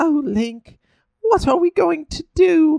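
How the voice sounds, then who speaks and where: A man uses a put-on character voice at an extremely high pitch. He sounds whiny, with a whiny tone, and speaks fairly slowly. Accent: British. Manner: whiny, mocking.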